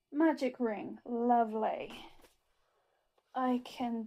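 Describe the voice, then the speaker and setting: In a British accent, the voice has a dark, mellow tone and moves at a very slow pace with long, frequent pauses. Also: woman. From UK. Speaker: crafter. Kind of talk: tutorial.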